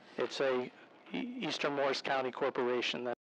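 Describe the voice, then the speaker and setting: A man at medium pitch, moderate pace. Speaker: real estate broker speaking at public comment. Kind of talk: public comment at council meeting. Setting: municipal meeting room with PA system. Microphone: amplification trouble, too quiet.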